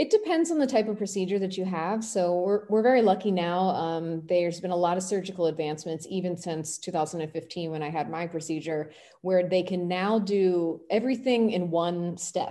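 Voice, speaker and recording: A woman with an American accent and a normal speaking voice, fairly low in pitch, at a moderate pace with hardly any pauses and ordinary pitch variation. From US, Washington, D.C. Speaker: health activist and former pageant contestant. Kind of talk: interview.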